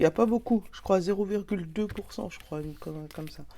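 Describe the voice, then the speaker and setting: Woman at medium pitch with a dark, mellow tone and a moderate pace. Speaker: tarot card reader. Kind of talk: oracle card reading, casual chat. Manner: animated.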